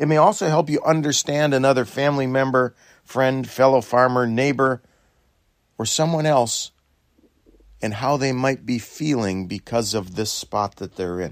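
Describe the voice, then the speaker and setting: This man uses a normal speaking voice with medium pitch and ordinary pitch variation. He talks at a moderate pace. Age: 60s. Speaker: dairy farmer. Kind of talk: reflective talk.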